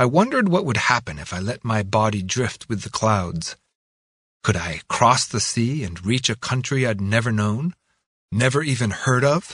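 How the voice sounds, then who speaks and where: A man's plain, everyday voice at medium pitch, with lively intonation and a moderate pace, over a quiet background. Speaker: audiobook narrator. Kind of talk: reading aloud, audiobook memoir narration in first person. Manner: reflective, measured, wistful.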